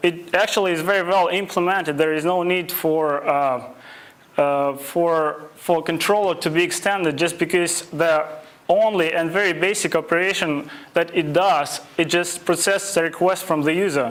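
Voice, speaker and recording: A man's high-pitched voice with a non-native accent at a moderate pace, with audible room echo and noticeable background noise. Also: fairly even intonation, very even loudness. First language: not English. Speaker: web development instructor. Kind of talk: lecture. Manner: halting, many fillers.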